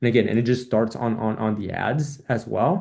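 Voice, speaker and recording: A man at a medium pitch with a dark, mellow tone, a fairly quick pace and ordinary pitch variation. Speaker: marketing coach for dog trainers. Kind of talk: casual talking-head tutorial. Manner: fast; many fillers and repetitions.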